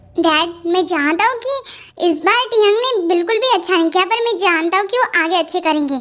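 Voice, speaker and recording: Someone uses a put-on character voice with an extremely high pitch. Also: fairly quick pace. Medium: fan dub. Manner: possessive.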